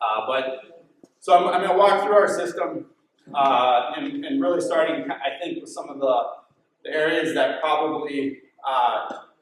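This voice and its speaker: In an American accent, the speaker moves at a moderate pace with lively intonation and big swings in loudness, while audible echo fills the room. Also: man, fairly high pitch for a man. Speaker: dairy farmer. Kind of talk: conference talk.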